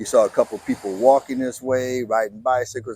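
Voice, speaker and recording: His voice rests at a medium pitch. This man's intonation is fairly even. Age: 70s. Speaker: interviewee, father of the host. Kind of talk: casual interview, storytelling. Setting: outdoors on a boardwalk.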